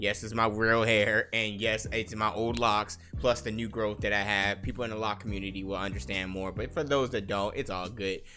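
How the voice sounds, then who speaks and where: A man with a fairly low voice speaks at a moderate pace with hardly any pauses and ordinary pitch variation. Music plays in the background. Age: 30s. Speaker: gaming and fitness podcast host. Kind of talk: casual solo podcast monologue. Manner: animated.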